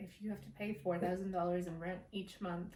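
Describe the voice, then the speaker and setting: With an American accent, a woman talks at a moderate pace and medium pitch, her intonation monotone and flat. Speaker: vlogger. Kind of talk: casual vlog talk to camera.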